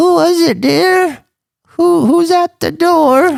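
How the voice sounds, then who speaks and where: A squeaky, put-on character voice at an extremely high pitch and a very slow pace. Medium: actual play. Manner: doting, defensive.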